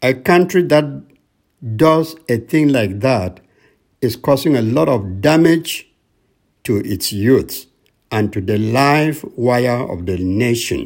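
Over a very clean recording with a silent background, a man speaks at a very slow pace with long, frequent pauses. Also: medium pitch for a man, lively intonation. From Cameroon. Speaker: radio minister. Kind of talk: sermon. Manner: formal.

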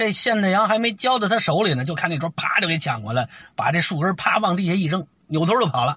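This man talks at a very fast pace in an animated tone, his intonation lively and his pitch high for a man. His voice has a bright, sharp tone. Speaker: storyteller podcaster. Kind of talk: storytelling monologue.

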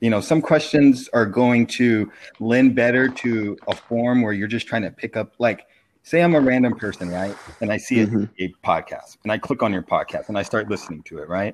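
Using a normal speaking voice, a man talks at a moderate pace, his pitch varying in an ordinary way. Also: medium pitch for a man. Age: 40s. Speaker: podcast guest, basketball fan. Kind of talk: casual chat.

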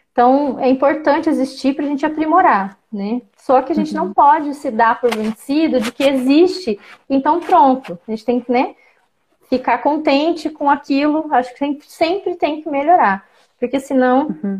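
Speaking at a moderate pace, a woman with a high pitch shows ordinary pitch variation and big swings in loudness. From Brazil, Campo Grande, Mato Grosso do Sul. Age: 40s. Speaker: professor. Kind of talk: interview.

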